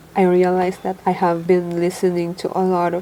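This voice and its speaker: With noticeable background noise around her, a woman talks at a medium pitch. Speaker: personal development vlogger. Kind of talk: casual talk to camera.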